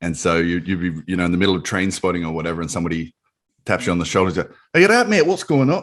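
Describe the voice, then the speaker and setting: With an Australian accent and a very deep, low pitch, a man talks at a very fast pace. His pitch variation is ordinary, and the background is quiet. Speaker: podcast host. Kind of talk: podcast interview, casual conversation.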